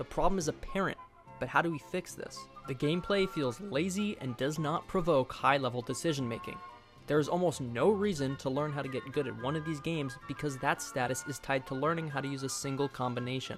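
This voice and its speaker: A fairly high-pitched man at a fairly quick pace, with ordinary pitch variation and music in the background. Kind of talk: video essay narration.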